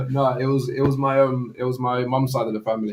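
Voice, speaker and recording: This man talks at a moderate pace with a London accent. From East London. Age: 30s. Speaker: former professional goalkeeper. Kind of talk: casual chat.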